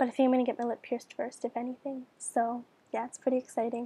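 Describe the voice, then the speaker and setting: A woman talks very fast at a high pitch for a woman. The sound is dry and close, with no echo. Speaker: beauty and piercing vlogger. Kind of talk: casual video tutorial. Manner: casual, with many fillers.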